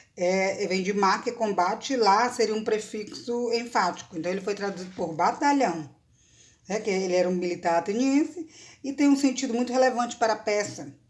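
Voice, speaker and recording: In a normal speaking voice, a woman talks at a moderate pace with a fairly high pitch and lively intonation. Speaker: university professor of Greek language and literature. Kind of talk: academic lecture talk to camera.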